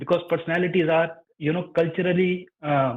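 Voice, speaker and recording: At a fairly quick pace, a man speaks in a high voice. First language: not English. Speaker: caller. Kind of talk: casual chat. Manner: halting.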